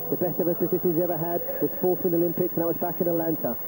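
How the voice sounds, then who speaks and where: Noticeable background noise sits under this recording. A man talks at a very fast pace in a high pitch. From London. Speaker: cycling commentator. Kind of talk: live commentary. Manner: animated.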